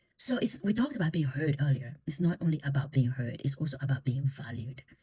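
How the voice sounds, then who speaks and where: The voice is somewhat breathy and moves at a very fast pace. Pitch variation is ordinary. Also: woman. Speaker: intercultural communication consultant. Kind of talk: educational talk on listening.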